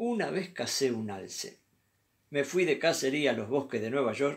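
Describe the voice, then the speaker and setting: A man talks at a moderate pace over a quiet background. His pitch swings very widely. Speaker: storyteller reading a short story aloud. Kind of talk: scripted comic story read aloud, stand-up style. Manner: animated, playful storytelling. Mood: calm, humorous storytelling. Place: home room. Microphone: webcam.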